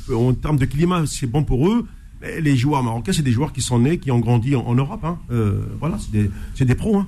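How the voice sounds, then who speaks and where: A man speaks at a moderate pace in an unremarkable speaking voice, his medium pitch rising and falling with lively intonation. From Algeria. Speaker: sports radio host. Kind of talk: radio sports talk show.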